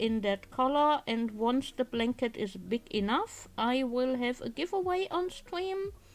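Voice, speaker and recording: Music plays in the background as a woman speaks. Her high voice, with a German accent, has lively intonation. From Germany. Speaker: crafting streamer. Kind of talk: casual live-stream chat. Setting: live stream with webcam.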